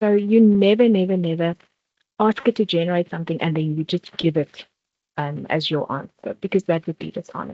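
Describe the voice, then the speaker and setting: Talking at a fairly quick pace, a woman with a South African accent has a fairly low pitch. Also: ordinary pitch variation. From South Africa, Vaal Triangle (Free State). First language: not English (South African language). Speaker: workshop presenter. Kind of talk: workshop presentation.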